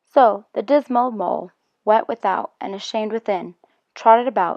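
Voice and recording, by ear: The background is quiet while a voice reads aloud in a natural voice. Its pitch variation is ordinary.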